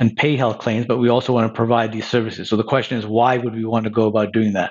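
A man speaks with a Canadian accent. His pitch is medium. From Quebec, Montreal. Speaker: insurance company CEO. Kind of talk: interview.

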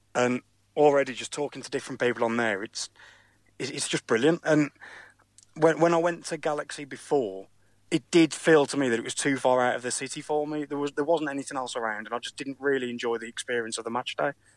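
Speaking very fast with a West Midlands accent, a man uses fairly high pitch and ordinary pitch variation in a very clean recording with a silent background. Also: dry, close sound with no echo. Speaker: football fan. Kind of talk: interview. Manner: halting.

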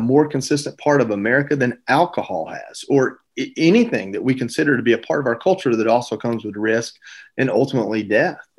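Lively intonation marks this man's speech, captured on a very clean recording with a silent background. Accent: Southern US. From US South, Georgia. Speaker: retired Marine bomb technician and TV host. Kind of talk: interview.

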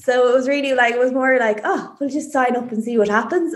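At a very fast pace and with ordinary pitch variation, the speaker talks with an Irish accent over noticeable background noise. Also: woman. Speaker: amateur cyclist. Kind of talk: interview.

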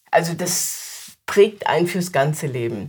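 Somewhat breathy, a woman speaks with a very deep, low pitch. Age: 70s. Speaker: storyteller. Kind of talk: interview; storytelling. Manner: engaging.

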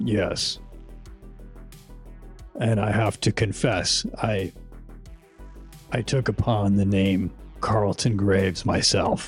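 In a put-on character voice, a man speaks with a solemn tone at a fairly low pitch and a very slow pace, leaving long, frequent pauses while clear music plays in the background. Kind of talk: measured formal speech. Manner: formal, solemn, humble.

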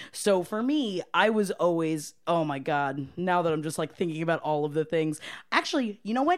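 In a normal speaking voice, a woman with an American accent talks at a moderate pace, her pitch fairly low with ordinary variation, on a very clean recording with a silent background. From Florida, US. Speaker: restaurant manager. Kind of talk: casual chat.

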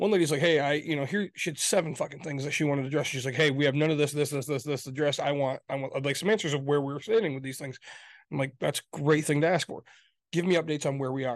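A very fast-talking man with a fairly high pitch, an American accent, and fairly even intonation, against a quiet background. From Michigan, US (Grand Rapids). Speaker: podcast co-host. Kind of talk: casual political argument.

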